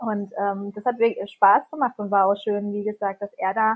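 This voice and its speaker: A woman's medium-pitched voice in a flat monotone. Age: 30s. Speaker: parent. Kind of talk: interview.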